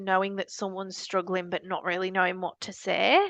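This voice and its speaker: In a strong northern English accent, a woman speaks at a moderate pace and medium pitch. The sound is dry and close with no echo, over a quiet background. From northern England, Leeds. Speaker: charity founder. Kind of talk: podcast interview.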